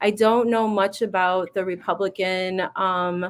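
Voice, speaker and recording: The recording is very clean with a silent background. A woman speaks at a fairly slow pace and medium pitch, her intonation monotone and flat. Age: 40s. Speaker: social worker and interviewer. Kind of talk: interview. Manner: halting.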